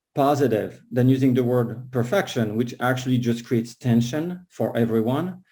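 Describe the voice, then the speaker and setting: Speaking in a French accent, a man has a medium pitch, a dark, mellow tone and fairly even intonation at a moderate pace. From France, Paris. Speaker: concert pianist and piano teacher. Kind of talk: casual talk at an online book launch event.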